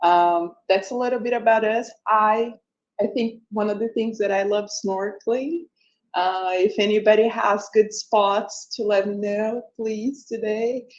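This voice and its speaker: Speaking at a fairly slow pace, a woman with a Brazilian accent has a fairly high pitch and fairly even intonation. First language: Portuguese. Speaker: tech company co-founder. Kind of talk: event presentation. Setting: live event with audience.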